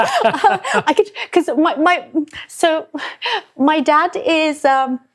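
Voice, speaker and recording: A woman's extremely high voice at a very slow pace, with lively intonation, very even loudness, and long, frequent pauses. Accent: London. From England, London. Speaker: chef. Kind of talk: casual chat.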